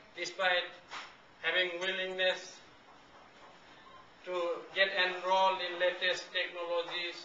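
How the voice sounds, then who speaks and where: Through noticeable background noise and audible room echo, a man with a Nepali accent speaks at a high pitch in a monotone, flat delivery, at a fairly slow pace with long, frequent pauses. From Bhutanese refugee camps in Nepal. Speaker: refugee speaker. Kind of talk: talk.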